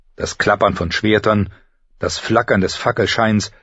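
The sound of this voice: The reading voice here is unforced.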